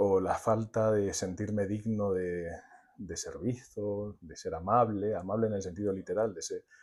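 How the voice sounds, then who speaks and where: The intonation is monotone and flat, at a fairly slow pace. The recording is very clean, with a silent background. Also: man, fairly low pitch for a man, big swings in loudness. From Spain, Murcia region (Águilas). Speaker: storyteller and psychotherapist. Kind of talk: podcast interview.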